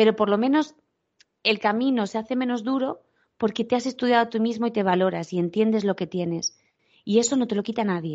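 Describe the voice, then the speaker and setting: Her tone is animated and her intonation lively. The woman speaks at a fairly quick pace. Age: 40s. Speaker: tourism professional, podcast co-host. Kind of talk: casual chat.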